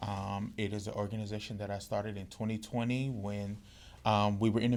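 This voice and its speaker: Speaking at a fairly quick pace with a Mississippi accent, the man has a fairly low pitch. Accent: US Southern, Mississippi. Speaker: podcast co-host and community organizer. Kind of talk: casual chat. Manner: frequent um fillers.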